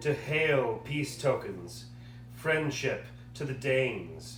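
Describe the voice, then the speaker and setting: A man at a very slow pace with fairly even intonation, music in the background. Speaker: puppeteer reading aloud for a class project. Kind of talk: poetry reading.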